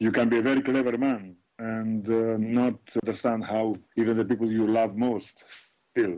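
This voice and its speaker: A man with a Greek accent speaks at a moderate pace and medium pitch. His intonation is monotone and flat, and his loudness stays very even. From Greece. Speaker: computer scientist and graphic novel author. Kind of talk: interview with children. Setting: video call. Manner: halting, with fillers.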